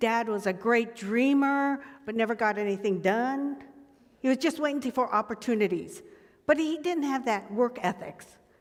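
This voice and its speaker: A woman speaks in a high pitch with lively intonation. Her pace is moderate. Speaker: graduation speaker. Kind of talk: commencement speech.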